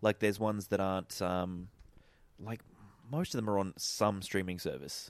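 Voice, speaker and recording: An Australian accent at a moderate pace, with long, frequent pauses and ordinary pitch variation. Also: man, fairly low pitch for a man. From Australia, Eden, far south coast of New South Wales. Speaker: podcast guest. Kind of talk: casual chat.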